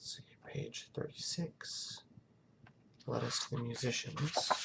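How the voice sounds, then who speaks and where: A man whispers his words at a very slow pace. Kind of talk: casual talk to camera, thinking aloud while solving a puzzle. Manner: soft-spoken.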